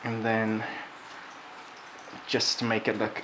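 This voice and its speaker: A man in an English accent speaks at a fairly slow pace with a fairly low pitch, over noticeable background noise. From England. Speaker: cooking video host. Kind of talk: cooking tutorial.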